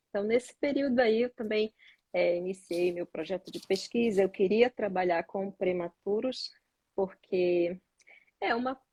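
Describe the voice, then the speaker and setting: A woman with a Pará accent speaks at a fairly slow pace and medium pitch, with ordinary pitch variation. The sound is dry and close, with no echo. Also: big swings in loudness. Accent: Pará accent, noticeable. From Brazil, Pará. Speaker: neonatologist. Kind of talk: live stream interview.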